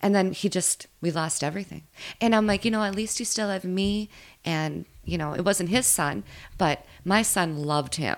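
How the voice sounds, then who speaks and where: A woman speaks at a moderate pace and a medium pitch. The recording is very clean, with a silent background. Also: ordinary pitch variation. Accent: Upper Midwest. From Minnesota. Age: 30s. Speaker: bartender. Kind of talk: casual chat.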